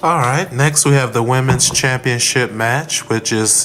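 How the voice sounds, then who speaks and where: A man's pitch varies in an ordinary way while noticeable background noise continues. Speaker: wrestling podcast co-host. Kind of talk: casual chat.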